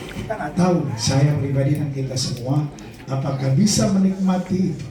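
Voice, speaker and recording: Lively intonation marks a man's speech, heard with audible room echo and noticeable background noise. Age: 40s. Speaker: Islamic preacher. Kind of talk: sermon. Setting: memorial prayer gathering with audience.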